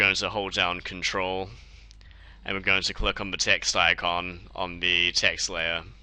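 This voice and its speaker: This man talks fairly slowly with a New Zealand accent, his pitch very deep and low. His tone is bright and sharp, and his intonation stays monotone and flat. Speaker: software tutorial maker. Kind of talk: tutorial. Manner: casual.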